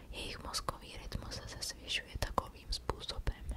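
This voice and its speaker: Through noticeable background noise, a woman's whisper proceeds at a moderate pace. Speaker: ASMR creator. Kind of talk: ASMR reading of paranormal stories. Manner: whispered.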